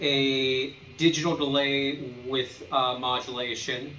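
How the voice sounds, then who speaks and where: A man's fairly high voice amid audible room echo and noticeable background noise. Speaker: guitar tutorial youtuber. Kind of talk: tutorial. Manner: casual with many fillers.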